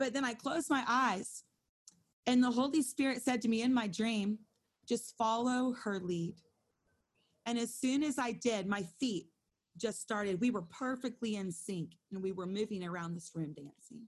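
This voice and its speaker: A woman speaks at a moderate pace with long, frequent pauses. Her fairly high voice is somewhat breathy, with ordinary pitch variation. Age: 40s. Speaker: Bible study co-leader. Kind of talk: Bible study teaching. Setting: video call. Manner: animated.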